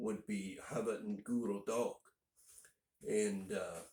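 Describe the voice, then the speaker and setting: A man speaks in an American accent. His pace is very slow. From northern Indiana, US. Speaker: language teacher (video tutorials). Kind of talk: tutorial. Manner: casual, with frequent 'uh' fillers.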